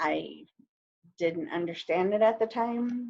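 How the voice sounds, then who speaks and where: A woman with a Navajo Nation accent at a fairly slow pace. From northern Arizona, Navajo reservation area. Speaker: panelist. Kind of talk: casual chat.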